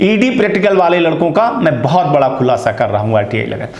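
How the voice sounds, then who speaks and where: Amid noticeable background noise and audible room echo, a man speaks at a high pitch. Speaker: news channel host. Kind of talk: news commentary.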